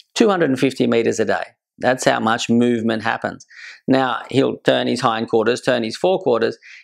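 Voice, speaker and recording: Here a man speaks with an Australian accent. The background is quiet. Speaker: horse trainer. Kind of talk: educational talk.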